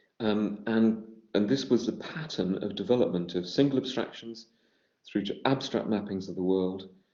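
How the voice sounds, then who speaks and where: A man speaks with a British accent at a fairly low pitch, with ordinary pitch variation. Audible room echo surrounds his voice. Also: moderate pace. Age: 60s. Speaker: education researcher. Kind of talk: lecture. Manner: halting, with repetitions.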